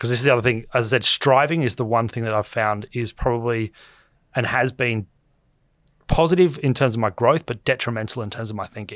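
A man with an Australian accent, medium in pitch with ordinary variation, at a fairly quick pace, on a very clean recording with a silent background. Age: 30s. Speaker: finance commentator. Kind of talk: casual chat.

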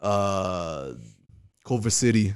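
A man with a New York accent and a fairly low pitch. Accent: New York-like. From Hawaii, Kauai. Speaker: comedian. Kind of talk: casual chat. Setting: studio.

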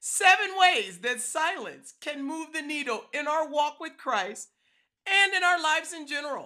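The voice is raised and projected. It moves at a fairly slow pace. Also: woman. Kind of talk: devotional talk. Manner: loud.

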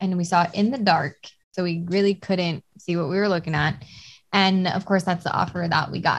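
This woman talks at a fairly quick pace with a fairly low pitch, a somewhat breathy voice and fairly even intonation. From Hawaii, Oahu (Kailua). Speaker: real estate investor and mental health counselor. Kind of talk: casual interview chat.

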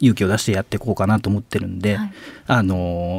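The man's voice sits fairly low. His intonation stays flat and monotone. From Mie Prefecture, Japan. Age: 30s. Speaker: contemporary artist. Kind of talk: casual radio interview. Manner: hesitant, many fillers.

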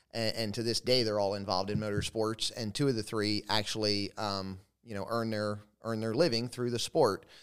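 Over a very clean recording with a silent background, a man speaks at a moderate pace. His voice is fairly low, with fairly even intonation. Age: 40s. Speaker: former sprint car driver, manufacturing operations manager. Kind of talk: casual interview chat. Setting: trophy room at a family compound. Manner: halting, with frequent fillers.

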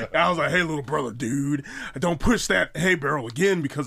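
In an American accent, a man with a fairly high pitch speaks at a fairly quick pace with an animated, bright, sharp tone and lively intonation. The recording is very clean, with a silent background. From Wisconsin, US Midwest. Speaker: pro wrestler and haunt scare actor. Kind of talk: casual chat.

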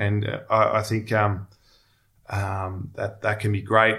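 In a very clean recording with a silent background, a voice with a bright, sharp tone speaks in monotone, flat intonation with an Australian accent. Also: man. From Melbourne, Australia. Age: 30s. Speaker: former pro footballer turned investment professional. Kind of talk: podcast interview. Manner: halting, many fillers and repeats.

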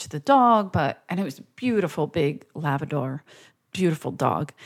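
On a very clean recording with a silent background, a woman talks at a moderate pace in a very deep, low pitch. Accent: Philadelphia. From Philadelphia. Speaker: comedian. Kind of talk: casual chat. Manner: animated.

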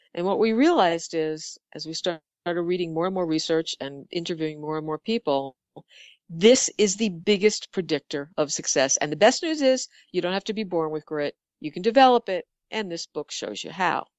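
A normal speaking voice with an American accent moves at a fairly quick pace with lively intonation. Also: woman, fairly low pitch for a woman. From Bronx, New York. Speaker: advertising executive and author. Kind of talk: interview conversation.

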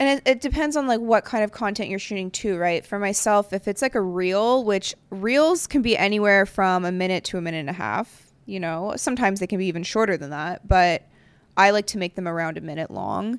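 A woman speaks in a normal speaking voice at a medium pitch, with lively intonation and a fairly quick pace with hardly any pauses. The recording is very clean and dry, with a silent background, a close sound and no echo. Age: 30s. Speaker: podcast host. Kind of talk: casual chat.

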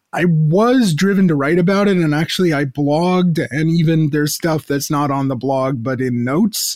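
A man talks at a moderate rate, barely pausing, his fairly high voice rising and falling in an ordinary way. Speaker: professor. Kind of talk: interview. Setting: studio microphone with headphones. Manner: hesitant, many fillers.

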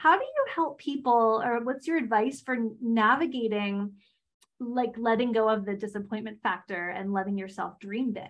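Moderate pace and ordinary pitch variation from a woman with a fairly high pitch. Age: 30s. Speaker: podcast host. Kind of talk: casual interview chat; reading guest bio. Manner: animated.

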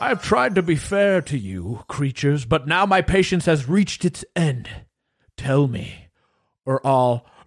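A man puts on a character voice with a fairly high pitch and very wide pitch swings. He goes at a fairly slow pace, and the sound is dry and close with no echo. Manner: threatening, impatient.

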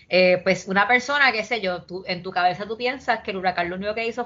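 Noticeable background noise sits behind a woman's voice. She speaks at a very fast pace with ordinary pitch variation. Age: 30s. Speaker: poet and urban planner. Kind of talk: casual interview chat.

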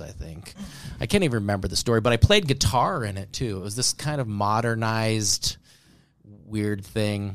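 The man has a normal speaking voice pitched fairly low. He moves at a moderate pace with ordinary pitch variation. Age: 40s. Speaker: comedian. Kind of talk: casual chat.

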